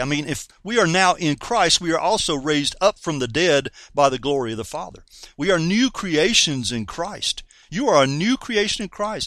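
Over a silent background in a very clean recording, a man with a North Carolina accent speaks in a high, animated voice at a moderate pace. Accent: Southern US (North Carolina). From US South, North Carolina. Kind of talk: sermon-style radio teaching.

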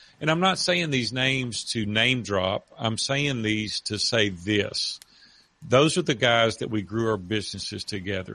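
A man with a Southern US accent speaks in a fairly low pitch. His tone is bright and sharp. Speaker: author and retired businessman. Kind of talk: interview. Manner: animated storyteller.

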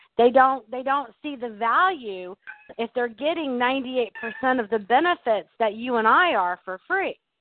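Her voice high and her intonation lively, a woman speaks at a fairly slow pace. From Arkansas, US South. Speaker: exterior washing business owner.

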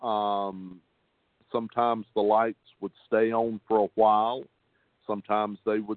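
A man speaks at a fairly slow pace with a Southern US accent. His pitch sits in the medium range. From North Carolina. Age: 50s. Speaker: cabinet maker. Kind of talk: testimony.

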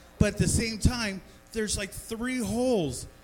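At a moderate pace, a man with a high pitch speaks amid noticeable background noise. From Denver area, Colorado. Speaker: comedy show host. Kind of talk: stand-up. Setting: bar stage with small audience.

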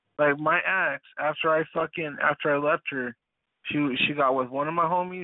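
A man with an American accent speaks at a moderate pace in an ordinary speaking voice, his intonation fairly even. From US West and Detroit. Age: 30s. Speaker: participant in a live audio chat room. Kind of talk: casual chat. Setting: online voice chat room.

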